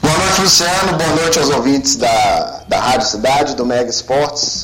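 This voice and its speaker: A man talks at a moderate speed while music plays behind him and the room echo is audible. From Brazil, Belo Horizonte (Minas Gerais). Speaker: F1 commentator. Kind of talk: radio podcast chat.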